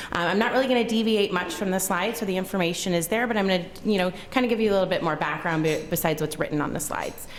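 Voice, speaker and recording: A woman at a very fast pace, hardly any pauses, very even loudness, ordinary pitch variation and noticeable background noise. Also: medium pitch for a woman. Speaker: gastroenterologist. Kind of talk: lecture. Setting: conference room with audience.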